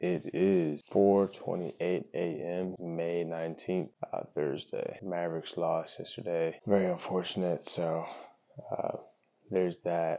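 Against a quiet background, a man talks at a very slow pace. His pitch is very deep and low, and his intonation is monotone and flat. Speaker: vlogger. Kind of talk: casual vlog chat. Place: kitchen. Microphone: lapel.

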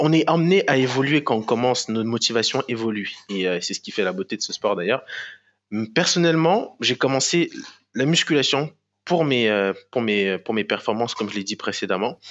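In a quiet background, a man at medium pitch speaks at a moderate pace with lively intonation. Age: 20s. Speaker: professional bodybuilder; podcast guest. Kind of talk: casual interview. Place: home room. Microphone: headset.

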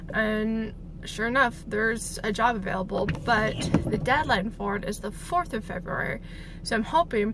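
A woman talks at a moderate pace with ordinary pitch variation. There is noticeable background noise, and the sound is dry with no echo. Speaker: vlogger. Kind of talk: casual vlog chat. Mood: hopeful, thinking aloud. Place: car. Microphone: phone near.

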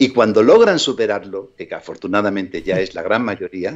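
A man is talking. His pace is moderate. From Andalusia, Spain (Málaga). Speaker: actor and psychic. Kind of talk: interview.

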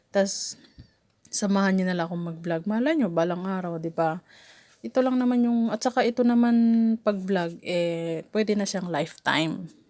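Speaking at a moderate pace, a woman with a medium pitch uses lively intonation. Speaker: vlogger. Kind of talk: casual vlog monologue. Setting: outdoors, up a mango tree. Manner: halting, stumbling over words; frequent laughter.

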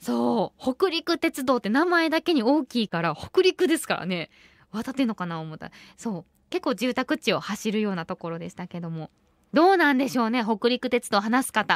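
With a Kansai accent, a woman speaks at a fairly high pitch, her pitch swinging very widely and her loudness rising and falling sharply, against a quiet background. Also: moderate pace, dry sound with no echo. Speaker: radio host. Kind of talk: radio show talk. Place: studio.

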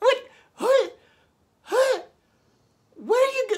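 Putting on a character voice, the man talks in an extremely high register. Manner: melodramatic, desperate.

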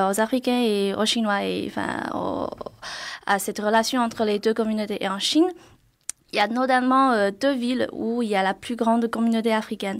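Against a quiet background, the speaker talks at a fairly quick pace with fairly even intonation. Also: woman. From China. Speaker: PhD student. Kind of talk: radio interview. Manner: hesitant, halting. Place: studio. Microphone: studio mic.

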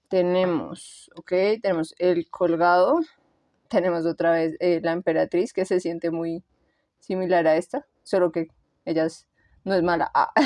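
Fairly low in pitch, a woman speaks at a fairly slow pace with fairly even intonation and long, frequent pauses, in a dry, close sound with no echo. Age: 30s. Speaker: tarot reader. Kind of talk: tarot reading. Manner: casual.

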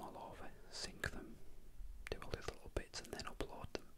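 Over noticeable background noise, a soft-spoken man is whispering. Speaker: radio hobbyist vlogger. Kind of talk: casual vlog chat. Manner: soft whispered rambling talk. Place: home room. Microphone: camera far.

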